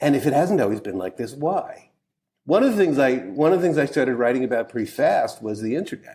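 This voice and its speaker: A man with a fairly high pitch and a dark, mellow tone talks at a very fast pace. His pitch swings very widely in a very clean recording with a silent background. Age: 60s. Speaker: author and cultural critic. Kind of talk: interview conversation.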